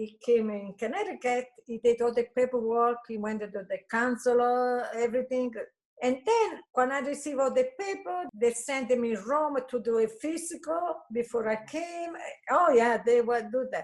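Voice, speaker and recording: A woman speaks in a high pitch with an Italian accent. Her pace is moderate and her pitch variation ordinary. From Italy. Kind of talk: interview answer.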